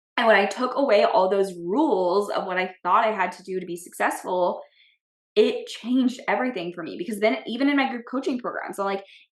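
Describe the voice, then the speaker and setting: A woman speaks at a fairly quick pace with a medium pitch and ordinary pitch variation. Her loudness swings widely. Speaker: business coach and podcast host. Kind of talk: solo podcast monologue. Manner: fast; bold, direct.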